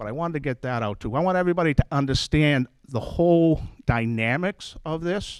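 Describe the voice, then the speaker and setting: At a moderate pace, a normal speaking voice with lively intonation comes through in a dry, close sound with no echo. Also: man. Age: 60s. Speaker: resident speaking at public forum. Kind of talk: public comment.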